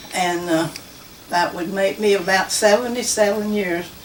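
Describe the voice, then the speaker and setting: With a Southern US accent, a woman talks at a moderate pace with ordinary pitch variation. Room echo is audible, and background noise is noticeable. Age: 80s+. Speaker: church member. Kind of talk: testimony. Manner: halting.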